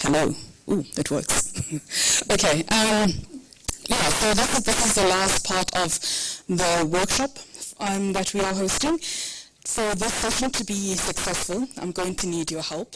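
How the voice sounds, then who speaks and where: Through noticeable background noise, a woman with a medium pitch speaks at a fairly slow pace, with ordinary pitch variation and long, frequent pauses. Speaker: workshop facilitator. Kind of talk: workshop facilitation.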